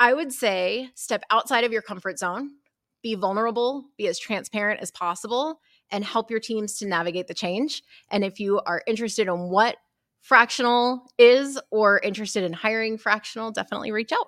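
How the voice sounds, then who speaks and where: A woman with a fairly high pitch speaks at a moderate pace. Hers is an unremarkable speaking voice with ordinary pitch variation. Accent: American. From Texas. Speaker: mortgage operations consultant. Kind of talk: interview. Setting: conference.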